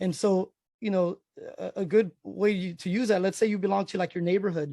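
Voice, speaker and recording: In a dry, close sound with no echo, a man speaks at a high pitch with a dark, mellow tone. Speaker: realtor teaching a software class. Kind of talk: online class tutorial. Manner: fast; halting, many fillers and repeats.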